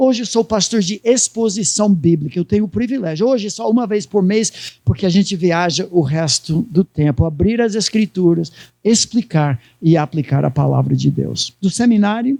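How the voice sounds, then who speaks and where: A man's high-pitched voice with a non-native accent, dark and mellow in tone, with lively intonation, very even loudness, a moderate pace, hardly any pauses, and a dry, close sound with no echo. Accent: foreign accent in Portuguese. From United States. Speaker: pastor. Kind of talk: sermon.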